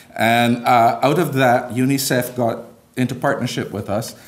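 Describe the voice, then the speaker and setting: A man of medium pitch at a moderate pace, with audible room echo. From Barbados. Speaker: bishop, church leader. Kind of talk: conference speech.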